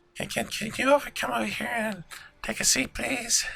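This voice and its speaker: A man puts on a raspy character voice, pitched high for a man, at a moderate pace. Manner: polite, asking someone to sit.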